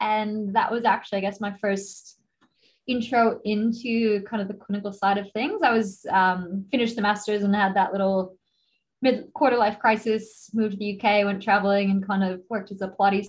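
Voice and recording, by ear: At a moderate pace, a woman speaks at medium pitch with fairly even intonation.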